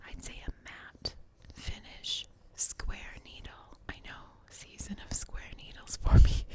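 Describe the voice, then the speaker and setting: A woman is whispering at a very slow pace, her loudness swinging widely. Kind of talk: ASMR knitting podcast. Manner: whispered.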